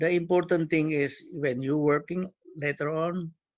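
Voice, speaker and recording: The speaker has a non-native accent and a moderate pace. The intonation stays fairly even. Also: man. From Indonesia. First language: Cantonese. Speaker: community leader and guest speaker. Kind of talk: talk to students. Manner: halting.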